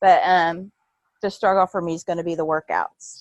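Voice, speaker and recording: Over a quiet background, the audio is dry and close, without any echo. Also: woman. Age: 60s. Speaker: new fitness coach. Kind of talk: video team call. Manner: halting.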